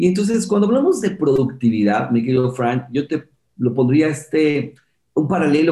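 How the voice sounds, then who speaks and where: Dark and mellow in tone, a man's somewhat breathy, medium-pitched voice moves at a fairly quick pace with lively intonation. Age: 50s. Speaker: entrepreneur and productivity specialist. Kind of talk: interview.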